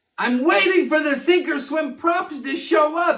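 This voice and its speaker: Using a cartoonish character voice, a man speaks at a moderate pace with an extremely high pitch. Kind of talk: kids' educational presentation. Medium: puppet. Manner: upbeat.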